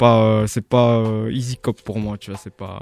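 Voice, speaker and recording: On a dry, close recording with no echo, a man at medium pitch speaks in a flat monotone. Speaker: DJ and sneaker collector. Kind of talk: casual radio chat.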